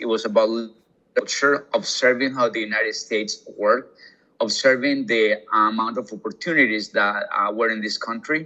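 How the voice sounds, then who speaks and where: Speaking at a fairly quick pace, a man talks with a Colombian accent. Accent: Colombian Spanish accent, kept. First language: Spanish. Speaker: hospitality executive. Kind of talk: interview conversation. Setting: podcast interview. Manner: hesitant, many fillers.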